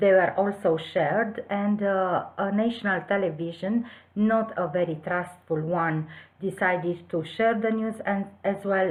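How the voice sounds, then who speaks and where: In a Romanian accent, the speech comes at a fairly slow pace with ordinary pitch variation and audible room echo. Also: woman. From southwest Romania. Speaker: teacher. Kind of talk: conference presentation. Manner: hesitant, with filler sounds.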